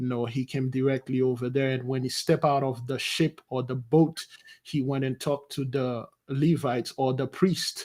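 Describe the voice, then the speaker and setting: With a Haitian accent, a man speaks at a moderate pace in a medium pitch, his intonation monotone and flat. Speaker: spiritual advisor. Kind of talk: interview.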